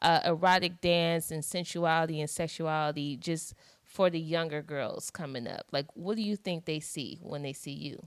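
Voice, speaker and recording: A woman with a fairly low pitch and an unremarkable speaking voice talks with hardly any pauses. The recording is very clean, with a silent background. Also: fairly even intonation, moderate pace. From US East Coast. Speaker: interview host. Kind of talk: interview.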